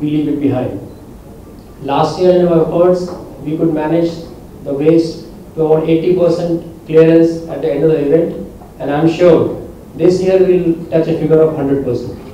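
With long, frequent pauses and a flat, monotone delivery, a man speaks at a fairly slow pace amid light background noise and audible room echo. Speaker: guest. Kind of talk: press conference statement. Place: hall.

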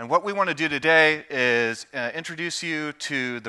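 The background stays quiet. A man talks in a bright, sharp tone. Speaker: presenter. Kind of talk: conference presentation. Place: stage. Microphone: headset.

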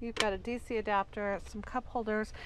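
A woman speaks at a moderate pace in a dry recording with no echo and light background noise. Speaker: car dealership salesperson. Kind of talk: product walkaround commentary. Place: car. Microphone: phone near.

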